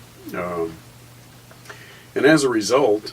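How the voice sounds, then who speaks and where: A man speaks very slowly, with noticeable noise in the background. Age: 60s. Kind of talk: personal testimony. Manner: hesitant, many filler words.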